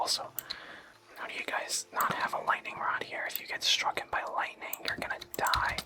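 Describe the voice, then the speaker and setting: Someone whispers at a moderate pace in a soothing tone. Noticeable background noise sits behind the voice. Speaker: gaming ASMR creator. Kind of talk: whispered ASMR gaming commentary. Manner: whispered; soft-spoken, soothing.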